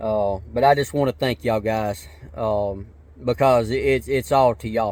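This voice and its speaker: A man with an American accent, medium in pitch, at a moderate pace with ordinary pitch variation. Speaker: vlogger. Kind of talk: casual vlog talk. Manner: halting, many fillers.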